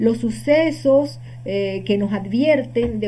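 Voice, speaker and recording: A woman speaks at a medium pitch, her voice swinging very widely up and down. The room echo is audible. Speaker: holistic healing teacher. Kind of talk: lecture.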